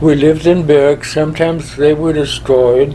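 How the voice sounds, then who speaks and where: Noticeable background noise runs under a man's voice. His pitch is fairly high, his intonation fairly even, and his pace moderate. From Germany, Berlin. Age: 90s. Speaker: war veteran. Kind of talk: interview.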